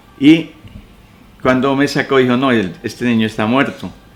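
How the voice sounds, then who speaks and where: A man's voice with noticeable background noise. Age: 70s. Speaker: retired teacher. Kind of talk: oral history interview. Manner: halting.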